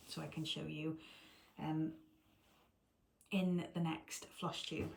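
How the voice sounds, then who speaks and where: The voice is somewhat breathy, with a British accent. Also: woman. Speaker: cross stitch video creator. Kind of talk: casual vlog chat.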